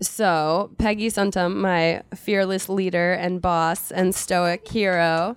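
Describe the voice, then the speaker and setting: A woman speaks with an American accent in monotone, flat intonation at a medium pitch. The recording is very clean, with a silent background. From Philadelphia, US. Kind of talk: live book talk interview. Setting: bookstore stage with audience.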